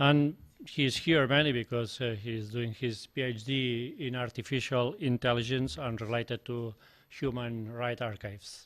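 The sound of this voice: A man speaks at a medium pitch with a fairly bright tone. His pace is fairly slow and his intonation fairly even.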